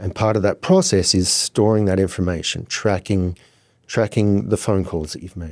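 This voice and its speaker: On a very clean recording with a silent background, a man with an Australian accent speaks in a very deep, low pitch with fairly even intonation. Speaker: software founder, former charter broker. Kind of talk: podcast interview.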